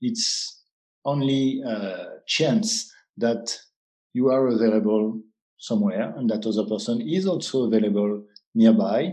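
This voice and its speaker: Speaking with a French accent, a man uses a dark, mellow tone at a medium pitch, a fairly slow pace and ordinary pitch variation. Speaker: app founder. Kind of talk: interview. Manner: halting.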